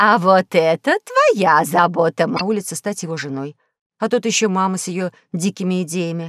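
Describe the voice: The voice offers plain reading aloud with ordinary pitch variation. The background is quiet.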